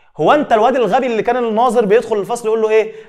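The delivery is very fast. Its tone is animated. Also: man. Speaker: biology teacher. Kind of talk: exam review lecture.

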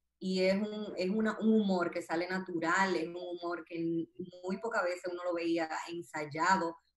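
A woman's fairly low, monotone voice with flat intonation, at a fairly slow pace with hardly any pauses and audible room echo. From Dominican Republic. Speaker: dentist and social media comedian; social media comedian. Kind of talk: interview. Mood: calm, reflective. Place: home room. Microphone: video call.

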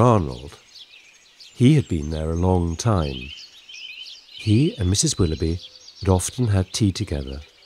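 The voice has a soothing, gentle tone and moves at a fairly slow pace with very wide pitch swings. Noticeable background noise sits behind it. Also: man. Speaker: bedtime story narrator. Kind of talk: scripted children's bedtime story narration. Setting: studio recording with sound effects and music. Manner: soothing, gentle and slow-paced, storyteller's warmth.

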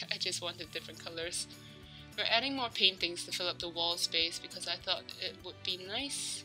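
With music in the background, a woman talks at a moderate pace. Her pitch is medium for a woman. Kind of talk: casual gameplay commentary. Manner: rambling, hesitant.

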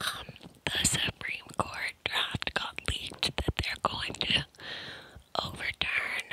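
Over noticeable background noise, a woman whispers at a very slow pace. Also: dry sound with no echo. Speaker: ASMR creator. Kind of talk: whispered casual chat. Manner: deep cupped whisper right on mic. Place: home room. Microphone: handheld.

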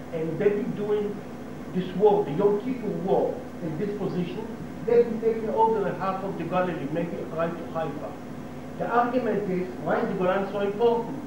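A man with an Israeli accent at a fairly quick pace, with audible room echo and noticeable background noise. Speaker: local resident giving talk to tourists. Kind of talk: informal talk to tour group. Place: hall. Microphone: old recording.

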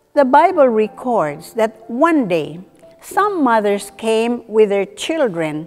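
A woman at a very slow pace, with faint music in the background. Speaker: presenter. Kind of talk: devotional talk to camera. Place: studio. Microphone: lapel.

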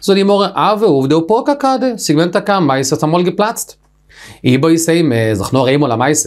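A man with a high pitch speaks at a moderate pace. His pitch swings very widely, and the background is quiet. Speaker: Talmud teacher. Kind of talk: lecture. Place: studio.

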